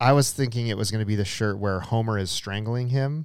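In a very clean recording with a silent background, a man with a fairly low pitch talks at a moderate pace in a normal speaking voice. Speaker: podcast co-host. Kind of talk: casual chat. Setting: live stream recording. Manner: playful, jokey.

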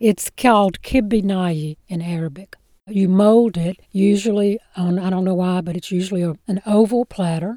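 A woman with a Mississippi accent speaks at a moderate pace in a medium pitch, with fairly even intonation, a dark, mellow tone, and a dry, close sound with no echo. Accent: US Southern (Mississippi). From Mississippi Delta (Clarksdale). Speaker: professional storyteller. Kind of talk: interview, storytelling.

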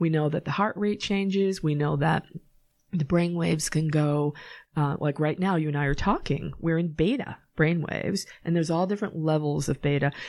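In a Boston accent, the speaker talks at a moderate pace. Loudness stays very even, and the intonation is fairly even. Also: woman, very deep, low pitch for a woman. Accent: Boston-area pronunciation of her hometown. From Massachusetts, Norwood. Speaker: psychic medium. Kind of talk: casual interview.

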